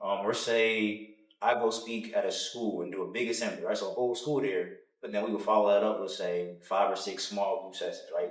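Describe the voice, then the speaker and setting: The room echo is clearly audible. A man talks at a fairly quick pace. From US Midwest, Cincinnati, Ohio. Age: 20s. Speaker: motivational speaker and author. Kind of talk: podcast interview.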